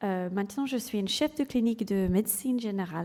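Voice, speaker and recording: This voice carries an English accent. The tone is dark and mellow, with ordinary pitch variation. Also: woman. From England. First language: English (speaking French). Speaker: general practitioner and clinical lecturer. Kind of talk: conference talk. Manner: halting, many hesitations.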